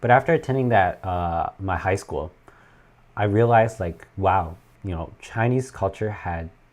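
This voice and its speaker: A man with a normal speaking voice, fairly low pitch and lively intonation, at a fairly slow pace. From Canada (moved from China as a child). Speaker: YouTuber explaining Chinese dramas and culture. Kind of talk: livestream chat reading viewer comments. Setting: livestream from home. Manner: casual, many fillers.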